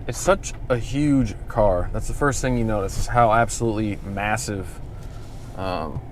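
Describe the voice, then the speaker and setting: Audible room echo surrounds a speaker with an American accent who talks fairly slowly. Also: man, medium pitch for a man, ordinary pitch variation. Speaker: car vlogger. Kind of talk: casual vlog. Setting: in a car. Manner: hesitant with fillers.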